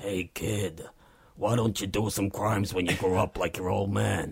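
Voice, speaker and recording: A man performs a put-on character voice. It sits at a fairly low pitch and moves at a moderate pace. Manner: gruff, menacing.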